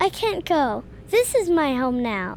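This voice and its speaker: A woman's put-on character voice, high-pitched and fairly slow, with very wide pitch swings over clear background noise. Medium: audio drama.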